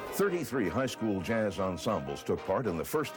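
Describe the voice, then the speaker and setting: The intonation is lively, with music playing in the background. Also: man. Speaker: newsreel narrator. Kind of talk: documentary narration.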